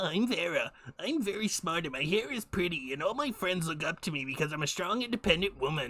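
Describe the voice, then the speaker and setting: A put-on character voice at a middle pitch and a fairly quick pace. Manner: mocking, girly.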